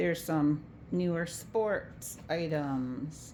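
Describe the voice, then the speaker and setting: A woman with a very deep, low voice speaks with ordinary pitch variation, and room echo is audible. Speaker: estate sale organizer. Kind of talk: video walkthrough of sale items.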